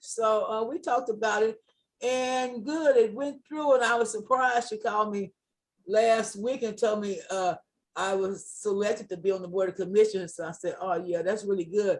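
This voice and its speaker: This woman has an unremarkable speaking voice, pitched fairly high. She talks at a moderate pace with ordinary pitch variation. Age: 60s. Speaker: community organizer. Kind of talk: community meeting remarks.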